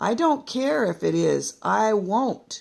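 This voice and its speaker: A raspy, female-sounding put-on character voice at medium pitch for a woman and a fairly slow pace. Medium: read story. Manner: blunt, colloquial.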